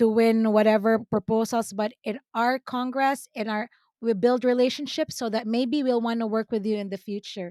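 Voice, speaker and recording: A woman with a slight Filipino accent speaks at a moderate pace with hardly any pauses, her dark, mellow tone sitting at a fairly high pitch with fairly even intonation. The recording is very clean with a silent background and a dry, close sound with no echo. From Philippines. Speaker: business owner, CEO. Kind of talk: interview conversation.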